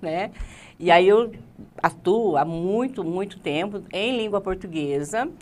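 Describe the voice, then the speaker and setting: A woman is speaking. Her pace is fairly slow. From Rondônia, Brazil (moved from Paraná as a child); Rondônia, Brazil. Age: 50s. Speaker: teacher and political candidate; teacher interview guest. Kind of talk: interview. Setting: studio. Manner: halting. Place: studio.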